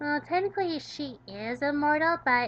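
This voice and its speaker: Using a put-on character voice, a woman talks at a moderate pace in a high pitch. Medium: solo performance. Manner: formal, articulate, precise.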